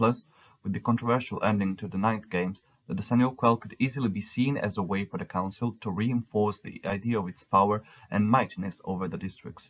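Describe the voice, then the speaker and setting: At a fairly quick pace, a man with a non-native accent keeps his intonation fairly even. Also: fairly low pitch for a man. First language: not English. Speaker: fan fiction narrator. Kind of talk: scripted narration.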